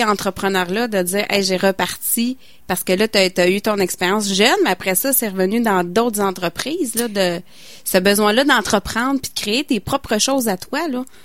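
On a very clean recording with a silent background, a woman speaks in a Quebec accent with ordinary pitch variation. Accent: Québécois French. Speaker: community radio co-host. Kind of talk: radio interview.

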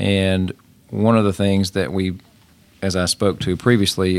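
With a West Tennessee accent, a man speaks at a fairly slow pace in a very deep, low pitch, keeping his intonation fairly even. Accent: Southern US (West Tennessee). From Tennessee (Shelby and Fayette counties, near Memphis). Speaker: state politician. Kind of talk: interview.

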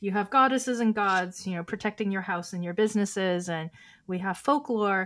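Her recording is very clean, with a silent background. The woman talks at a fairly quick pace with medium pitch and ordinary pitch variation. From US West Coast, Oakland, California. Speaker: poet and filmmaker. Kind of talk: casual chat.

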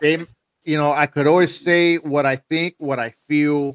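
In a plain, everyday voice, a man speaks at a moderate pace with fairly high pitch and fairly even intonation, the sound dry and close with no echo. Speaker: podcast host. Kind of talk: casual group chat. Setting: video call.

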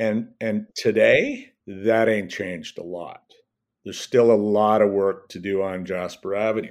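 A man with a Canadian accent speaks at a fairly slow pace in a fairly low, monotone voice with flat intonation. His loudness swings widely, and the recording is very clean with a silent background. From Edmonton, Alberta, Canada. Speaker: former city councillor and journalist. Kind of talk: casual interview.

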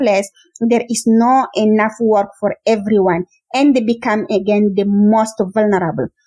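A woman's fairly high voice with a dark, mellow tone at a fairly slow pace. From Chad. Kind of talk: interview.

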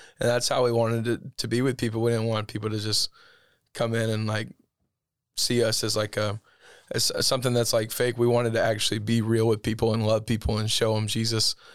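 Speaking at a fairly quick pace with a Southern US accent, a man keeps a monotone, flat intonation. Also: medium pitch for a man. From Alabama, US South. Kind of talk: casual interview chat.

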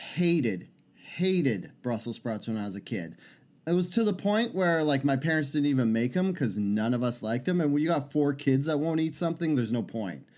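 Speaking at a fairly quick pace, a man with a fairly high pitch makes very wide pitch swings in a very clean recording with a silent background. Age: 30s. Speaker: podcast co-host. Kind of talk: casual chat.

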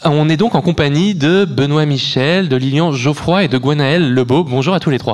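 In an ordinary speaking voice, a man with a fairly high pitch talks at a moderate pace, keeping very even loudness and ordinary pitch variation. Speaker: radio host. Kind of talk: live radio interview.

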